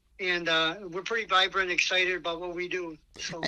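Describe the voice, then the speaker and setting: A man with a high pitch and a bright, sharp tone speaks in a raised, projected voice at a moderate pace. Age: 70s. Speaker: band drummer. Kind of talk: interview.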